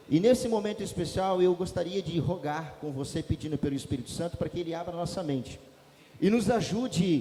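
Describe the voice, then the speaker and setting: Loud and at a fairly quick pace, a man talks in a high pitch with lively intonation. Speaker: pastor. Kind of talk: sermon. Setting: church. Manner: fast.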